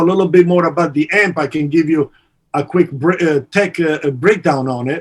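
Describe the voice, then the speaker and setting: An Italian accent at a moderate pace, with ordinary pitch variation. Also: man. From Italy. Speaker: amp company partner and guitarist. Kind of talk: podcast interview. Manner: halting, many fillers.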